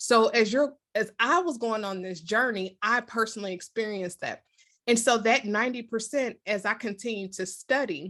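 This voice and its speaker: Against a quiet background, the speaker talks at a moderate pace with an American accent, a bright, sharp tone and ordinary pitch variation. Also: woman, fairly high pitch for a woman. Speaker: leadership coach and author. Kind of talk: interview.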